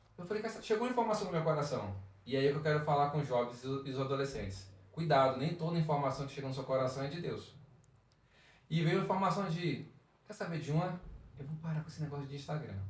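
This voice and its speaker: The speech is very fast with lively intonation, broken by long, frequent pauses. Room echo is audible. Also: man, fairly high pitch for a man. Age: 40s. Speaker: church youth leader. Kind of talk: podcast interview, personal testimony. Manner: playful, joking.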